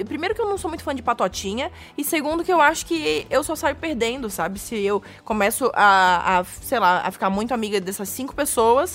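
Her pitch leaps up and down across a very wide range. The woman's delivery moves fairly quickly. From Florianópolis, southern Brazil. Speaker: comedian. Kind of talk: casual chat. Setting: studio.

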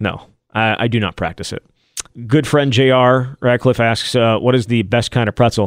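The recording is very clean with a silent background. A man with a plain, everyday voice and medium pitch speaks at a moderate pace with fairly even intonation. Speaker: sports podcast co-host. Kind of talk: casual sports talk.

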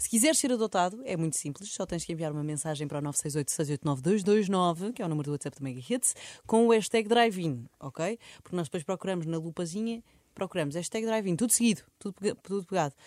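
Very fast and lively, a woman with a fairly low voice comes through a very clean, dry, close recording with no echo and a silent background. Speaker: podcast host. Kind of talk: casual chat.

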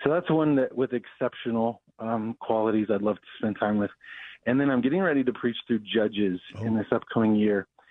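A man with an American accent and a plain, everyday voice, medium in pitch, with ordinary pitch variation and a fairly quick pace. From Denver, Colorado. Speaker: pastor. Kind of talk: interview.

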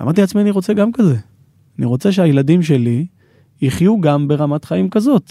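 In a dry, close sound with no echo, the dark, mellow voice moves at a fairly quick pace with very wide pitch swings, very even loudness and long, frequent pauses. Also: man, fairly high pitch for a man. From Israel, Ma'ale Adumim near Jerusalem. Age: 30s. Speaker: real estate developer. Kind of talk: interview.

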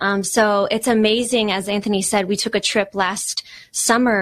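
A woman with an American accent speaks in a normal speaking voice at a medium pitch and a moderate pace. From East Texas. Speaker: nonprofit ministry worker. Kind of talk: interview.

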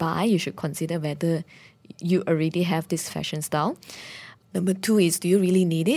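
A woman speaks with a fairly low pitch and a dark, mellow tone. The recording is very clean, with a silent background. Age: young. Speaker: social enterprise founder. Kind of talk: radio interview. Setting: studio.

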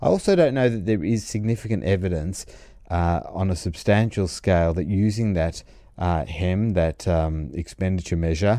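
This man's voice sits very deep and low, dark and mellow in tone. His pitch varies in an ordinary way. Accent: Australian. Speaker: commentator. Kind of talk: opinionated rant about banking rules, delivered as a commentary segment. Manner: earnest, argumentative, talking steadily with frequent hedges and self-corrections; disapproving, making a case against regulation with mounting insistence.

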